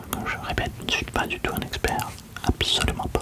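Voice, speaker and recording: Someone whispers in a calm tone at a fairly slow pace. Noticeable background noise is present. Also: man. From Lille, northern France. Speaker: ASMR creator. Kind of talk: ASMR roleplay, sleep clinic consultation. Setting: binaural studio recording. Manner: soft-spoken, calm, whispering.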